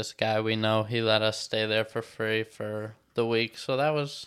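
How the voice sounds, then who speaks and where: Speaking at a fairly slow pace is a man. His pitch sits fairly low. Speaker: podcast host. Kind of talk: casual chat.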